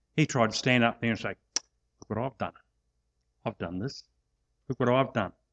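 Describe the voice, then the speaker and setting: A man with an Australian accent speaks at a moderate pace with ordinary pitch variation. The sound is dry and close, with no echo. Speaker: preacher and sports chaplain. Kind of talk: sermon. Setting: church.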